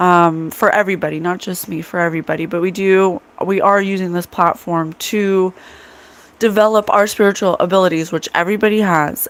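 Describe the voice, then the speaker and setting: At a fairly quick pace, a woman speaks with medium pitch and fairly even intonation. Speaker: psychic medium and podcast host. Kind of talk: casual livestream chat.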